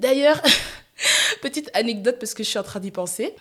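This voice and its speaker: A woman with an animated tone. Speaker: podcast host. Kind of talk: casual solo podcast monologue. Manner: loud.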